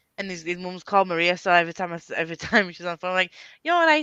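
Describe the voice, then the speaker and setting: A woman speaks in a bright, sharp tone, her pitch swinging very widely. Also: quiet background. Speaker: book channel host. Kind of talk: casual chat. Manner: animated.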